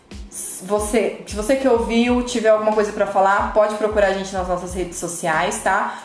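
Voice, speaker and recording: Over music in the background and audible room echo, a woman of medium pitch talks at a moderate pace with ordinary pitch variation. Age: 30s. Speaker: financial education coach and podcast co-host. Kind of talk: casual chat.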